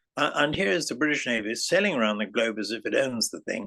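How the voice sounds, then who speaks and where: A man with an English accent talks at a medium pitch with lively intonation. His tone is bright and sharp, and the background is quiet. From England. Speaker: political activist and democracy researcher. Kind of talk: interview.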